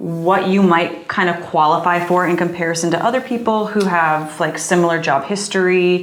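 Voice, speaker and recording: A woman with a fairly low pitch speaks at a moderate pace with ordinary pitch variation, amid noticeable background noise and audible room echo. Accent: American. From Michigan. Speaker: personal finance podcast co-host. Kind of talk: casual chat.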